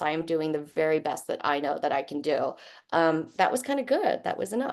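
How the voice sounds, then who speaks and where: Against a quiet background, a woman with a fairly low pitch speaks at a fairly quick pace. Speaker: advertising executive. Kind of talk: panel discussion. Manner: loud.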